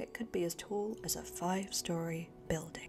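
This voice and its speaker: A soft-spoken woman talks in a calm tone. Music plays in the background. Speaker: author reading her own self-published book. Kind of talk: ASMR book reading. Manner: soft-spoken, calm.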